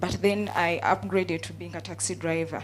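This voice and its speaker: A woman's fairly low-pitched voice at a moderate pace, with audible room echo. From Uganda. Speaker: trade unionist and taxi driver. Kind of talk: audience question at conference panel.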